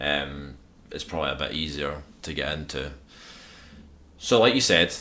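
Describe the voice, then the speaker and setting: A man speaks in a strong Scottish accent with a very deep, low voice and ordinary pitch variation. His loudness swings widely, and audible room echo is present. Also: moderate pace. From Scotland. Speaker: podcast host. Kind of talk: casual chat. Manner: formal.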